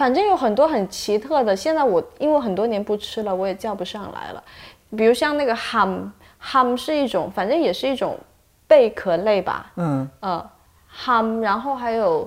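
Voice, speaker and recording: A woman's lively intonation at a moderate pace. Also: fairly high pitch for a woman. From Shantou, Guangdong (Chaoshan region). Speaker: video producer at the media company. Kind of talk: casual interview chat. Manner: hesitant, many fillers and repetitions.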